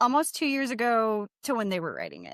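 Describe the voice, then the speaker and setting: In a dry, close sound with no echo and a silent background, a woman speaks with lively intonation and an animated tone on a very clean recording. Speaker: podcast co-host reading ghost stories. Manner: loud.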